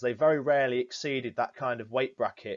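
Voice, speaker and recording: With a Yorkshire accent, a man speaks at a fairly high pitch. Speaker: fishery manager. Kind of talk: prepared presentation. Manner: formal.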